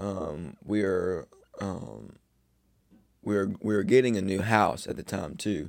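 A man speaks at a very slow pace with long, frequent pauses and vocal fry. His pitch is fairly low, with ordinary variation. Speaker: podcast host. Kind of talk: casual monologue. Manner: halting.

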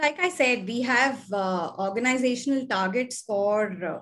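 A woman's fairly high, somewhat breathy voice with ordinary pitch variation over a quiet background. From Chennai, South India. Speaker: airline communications executive. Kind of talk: interview conversation.

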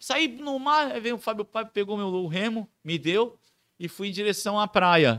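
A man speaks in a raised, projected voice with a high pitch and very wide pitch swings, the sound dry and close with no echo. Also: very clean recording, silent background. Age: 20s. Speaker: clown and surfer. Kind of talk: casual chat.

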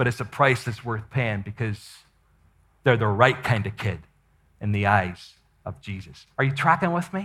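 A man speaks at a fairly slow pace in a bright, sharp, animated tone. His pitch swings very widely. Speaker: missionary and preacher. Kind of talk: sermon, live teaching. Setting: conference stage with audience. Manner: animated, conversational.

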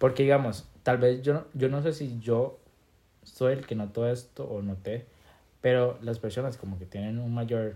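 A man talks at a fairly slow pace with fairly even intonation. His voice sits at a medium pitch with a dark, mellow tone. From Costa Rica, Limón. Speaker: podcast co-host. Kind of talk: casual chat.

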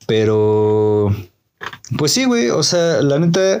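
In a Mexico City accent, a man speaks with medium pitch and lively intonation. Audible room echo surrounds his voice. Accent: Mexican Spanish (Mexico City). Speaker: podcast co-host. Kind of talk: casual chat.

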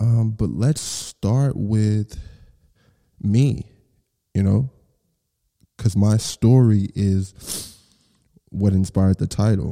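At a very slow pace with long, frequent pauses, a man with an American accent speaks at a fairly low pitch, and the sound is dry and close with no echo. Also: ordinary pitch variation. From Texas, Garland (Dallas area). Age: 30s. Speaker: podcast host, music executive. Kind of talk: casual solo monologue. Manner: casual, filler-heavy.

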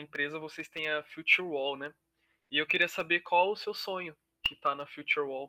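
This is a man speaking. His pitch sits high. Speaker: student podcast co-host. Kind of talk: interview.

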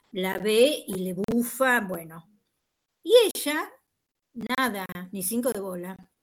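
Speaking at a very slow pace with long, frequent pauses, a fairly high-pitched woman uses lively intonation and big swings in loudness. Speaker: university teacher. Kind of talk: online class discussion.

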